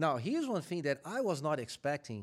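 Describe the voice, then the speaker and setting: A man with a Brazilian accent talks at a fairly high pitch, swinging very widely up and down. The recording is very clean, with a silent background. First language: Portuguese. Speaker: corporate supply chain executive. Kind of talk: interview.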